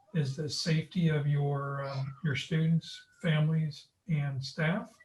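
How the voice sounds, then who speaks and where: A man with a fairly high pitch speaks at a fairly slow pace in a somewhat breathy voice. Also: fairly even intonation. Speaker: school district leader. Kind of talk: town hall meeting.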